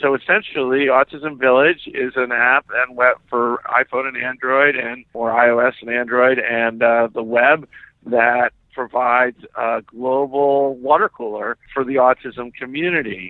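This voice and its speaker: A man talks fairly slowly in a normal speaking voice with hardly any pauses. His pitch is medium and his intonation fairly even. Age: 50s. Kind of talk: interview.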